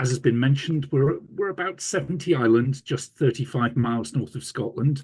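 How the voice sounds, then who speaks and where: With a Yorkshire accent, a man speaks at a moderate pace and medium pitch. His intonation is lively and his voice somewhat breathy. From Yorkshire, England. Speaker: radiographer and hospital manager. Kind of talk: conference presentation. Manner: hesitant, many fillers.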